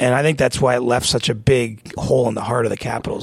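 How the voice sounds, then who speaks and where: A man's medium-pitched voice with vocal fry, in a Canadian accent, very fast and fairly even in intonation. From small-town Ontario, Canada. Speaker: hockey reporter. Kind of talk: casual chat. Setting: studio.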